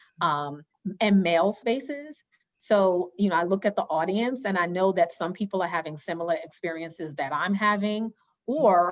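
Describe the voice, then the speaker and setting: A woman at a medium pitch with an American accent, moderate in pace and lively in intonation. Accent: New York accent, noticeable in the South. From New York. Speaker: education consultant and workshop facilitator. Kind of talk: interview conversation. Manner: hesitant, many fillers.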